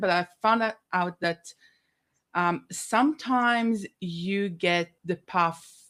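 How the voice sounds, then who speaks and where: Pitch varies in an ordinary way. The recording is very clean, with a silent background. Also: woman. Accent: Israeli. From Israel. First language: Hebrew. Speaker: business consultant. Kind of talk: podcast interview. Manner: hesitant, many fillers.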